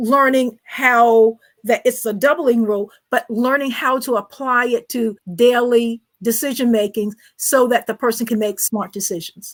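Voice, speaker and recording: A woman with a high pitch talks at a moderate pace, her intonation fairly even. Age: 60s. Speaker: financial advisor and author. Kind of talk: interview.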